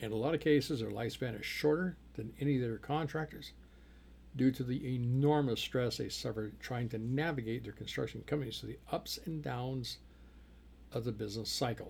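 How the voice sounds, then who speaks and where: The man's voice sits at a medium pitch and is somewhat breathy. His pitch variation is ordinary. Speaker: podcast host and construction accountant. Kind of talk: solo business podcast monologue. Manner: fast.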